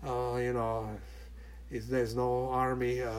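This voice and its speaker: A man speaks with a Hungarian accent. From Hungary. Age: 80s+. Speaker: retired merchant mariner. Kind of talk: casual chat. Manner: halting, many fillers.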